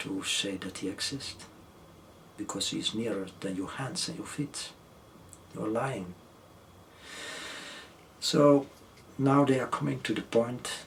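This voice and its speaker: A soft-spoken man with a non-native accent whispers at a fairly slow pace, leaving long, frequent pauses. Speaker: author and educator. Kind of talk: interview answer. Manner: very soft-spoken, just above a whisper; gentle, humble.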